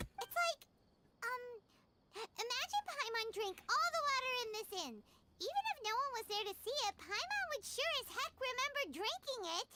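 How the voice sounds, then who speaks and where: At a moderate pace, a squeaky, put-on character voice delivers the lines. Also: woman, extremely high pitch for a woman. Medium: virtual streamer. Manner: talks about herself in third person; excitable, chatty.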